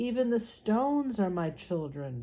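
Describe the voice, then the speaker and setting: A woman speaks in a put-on character voice. Her pitch sits fairly high, and her pace is moderate. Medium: read story. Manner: slow, solemn, hooting.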